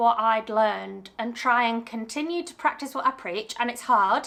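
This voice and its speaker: The voice carries a British accent and shows ordinary pitch variation. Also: woman. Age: 30s. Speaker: small business owner and vlogger. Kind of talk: casual Q&A vlog. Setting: home studio.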